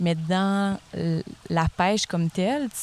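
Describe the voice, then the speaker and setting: A fairly low-pitched woman with fairly even intonation, recorded dry and close with no echo. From Gaspésie, Quebec. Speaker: speech therapist. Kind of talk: casual chat.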